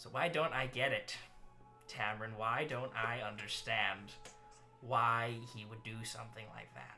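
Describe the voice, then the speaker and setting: A man uses a put-on character voice, quiet and at a medium pitch, with fairly even intonation and big swings in loudness. He keeps a moderate pace with long, frequent pauses over clear music in the background. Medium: actual play. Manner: quiet, muttering.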